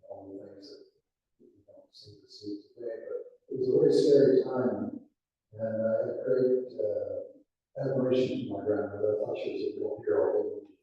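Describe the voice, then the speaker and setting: A man at a moderate pace with big swings in loudness, plus audible room echo. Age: 80s+. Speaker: audience member. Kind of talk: audience question, reminiscence. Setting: event venue with live audience.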